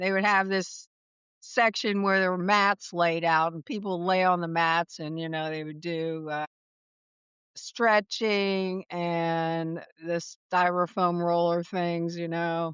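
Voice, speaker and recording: A woman speaks at a very slow pace. Her pitch is fairly low. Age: 70s. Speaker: wellness coach, former litigator. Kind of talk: interview. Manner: animated.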